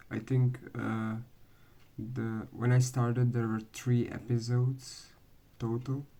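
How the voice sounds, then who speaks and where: A very slow pace in a non-native accent, with long, frequent pauses. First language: not English. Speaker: anime fan video maker. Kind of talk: casual vlog commentary. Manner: hesitant, many fillers.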